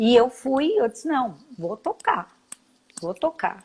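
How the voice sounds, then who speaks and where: This woman's somewhat breathy voice moves at a fairly slow pace. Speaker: school founder and entrepreneur. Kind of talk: interview.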